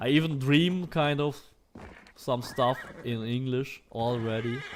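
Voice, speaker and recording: Against noticeable background noise, a man at medium pitch speaks very slowly with ordinary pitch variation. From Germany. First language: German. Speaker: gaming streamer. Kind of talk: live gameplay stream commentary. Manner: casual, hesitant with fillers.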